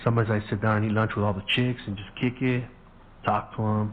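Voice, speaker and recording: A man rushes through his words at a very fast pace, his voice somewhat breathy. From US, Mexican-American family. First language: Spanish. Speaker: podcast host. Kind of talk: casual storytelling monologue.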